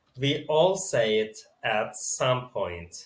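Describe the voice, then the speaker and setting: Lively intonation marks a man's speech in a non-native accent. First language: not English. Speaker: spiritual video creator. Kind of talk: reading from teleprompter, reflective monologue. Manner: slightly halting, self-correcting.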